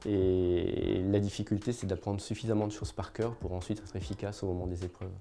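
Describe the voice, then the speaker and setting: This man has a plain, everyday voice with a fairly low pitch. He talks at a fairly quick pace with fairly even intonation and hardly any pauses. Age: 50s. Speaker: magistrate. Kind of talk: interview.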